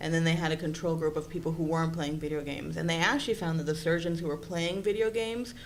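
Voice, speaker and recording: Speaking at a very fast pace with hardly any pauses, a woman in a Spanish accent has a fairly low pitch and ordinary pitch variation. Audible room echo and noticeable background noise are present. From Puerto Rico. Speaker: psychology presenter. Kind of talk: conference presentation.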